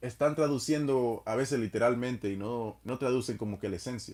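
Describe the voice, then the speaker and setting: In a very clean recording with a silent background, a man with a Spanish accent speaks at a moderate pace with ordinary pitch variation. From Dominican Republic. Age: 30s. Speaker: live streamer. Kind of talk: casual chat.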